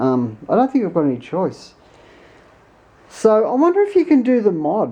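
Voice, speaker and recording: A woman with an Australian accent talks at a moderate pace with long, frequent pauses. Her tone is dark and mellow, her pitch fairly high, with very wide pitch swings. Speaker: tech YouTuber. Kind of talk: tutorial. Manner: casual, hesitant with fillers; animated.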